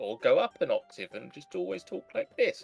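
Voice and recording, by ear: Faint background music plays as this man puts on a character voice. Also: moderate pace.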